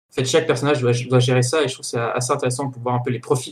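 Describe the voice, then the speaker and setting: A somewhat breathy man talks very fast at a medium pitch, his intonation monotone and flat. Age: 20s. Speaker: podcast host and film studies graduate. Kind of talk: casual chat.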